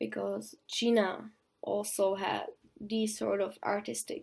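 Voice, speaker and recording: Speaking at a very slow pace, the voice carries a non-native accent. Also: woman. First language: not English (English is third language). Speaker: costume design student vlogger. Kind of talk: video blog explanation. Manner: hesitant, some stuttering.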